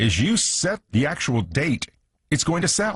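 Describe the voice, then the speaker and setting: A man speaks against a quiet background. His voice is somewhat breathy and swings very widely in pitch. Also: dry, close sound with no echo. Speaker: radio show host. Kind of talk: radio show hosting.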